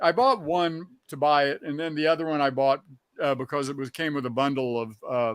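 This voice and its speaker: Fairly high in pitch, a man speaks at a fairly quick pace with ordinary pitch variation. The recording is very clean, with a silent background. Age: 60s. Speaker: record collector, show co-host. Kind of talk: casual chat. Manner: halting, many fillers.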